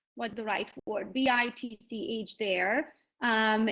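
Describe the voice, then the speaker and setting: A woman speaks with a Hungarian accent. Her pitch is fairly high. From Transylvania, Romania (Hungarian). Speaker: real estate agent. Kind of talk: conference panel talk.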